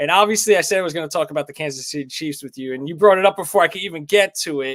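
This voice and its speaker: A man with a New York accent talks very fast in a high, animated voice, with ordinary pitch variation, big swings in loudness, and a dry, close sound with no echo. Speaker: sports betting show host. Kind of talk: live stream sports chat. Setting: live stream. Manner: casual, animated.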